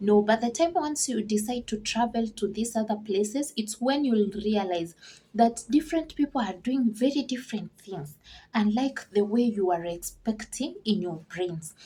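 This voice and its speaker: Somewhat breathy and dark, mellow in tone, the voice has lively intonation at a moderate pace. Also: woman, fairly high pitch for a woman. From Kenya. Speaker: vlogger and farmer. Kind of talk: casual vlog Q&A.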